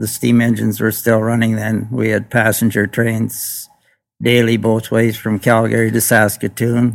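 At a fairly slow pace, a man speaks with medium pitch and monotone, flat intonation. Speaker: retired railway telegraph operator. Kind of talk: reminiscing interview.

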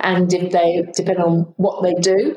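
Speaking with a British accent, a woman keeps to a fairly low pitch. Her intonation is monotone and flat. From United Kingdom. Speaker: aged care executive and nurse. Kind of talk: casual interview conversation.

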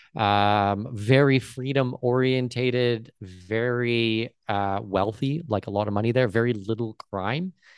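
A man with a Canadian accent has a plain, everyday voice of medium pitch with ordinary variation. He speaks fairly slowly with hardly any pauses against a quiet background. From Canada, Southwestern Ontario. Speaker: entrepreneur and traveller. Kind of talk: casual interview chat.

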